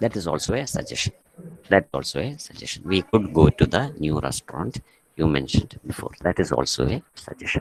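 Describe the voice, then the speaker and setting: The speaker is soft-spoken with vocal fry and very wide pitch swings, heard in a dry, close sound with no echo. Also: man, very deep, low pitch for a man. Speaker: college English teacher. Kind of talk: online class lecture. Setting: online class from a staff room. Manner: soft-spoken, kept low; halting, many fillers.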